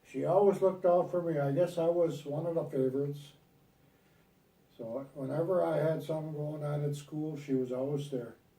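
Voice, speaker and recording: A man with an American accent, fairly high in pitch, at a moderate pace with fairly even intonation, long and frequent pauses, and audible room echo. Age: 80s+. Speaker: grandfather recording a family legacy video. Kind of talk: family oral history interview. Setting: at home on a couch, recorded on video. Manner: halting.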